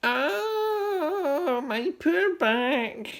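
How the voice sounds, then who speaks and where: A put-on character voice. It sounds shrill. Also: man, extremely high pitch for a man. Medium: read story. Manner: muttering, doddering.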